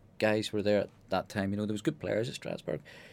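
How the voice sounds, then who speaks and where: The recording is very clean, with a silent background. A man speaks fairly quickly at a fairly low pitch. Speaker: former footballer. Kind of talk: radio interview.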